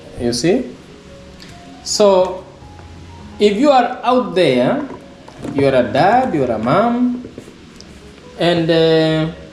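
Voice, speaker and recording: A high-pitched man at a very slow pace, with very wide pitch swings, long and frequent pauses, and music in the background. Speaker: parent. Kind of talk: casual talk to camera. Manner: hesitant, many fillers.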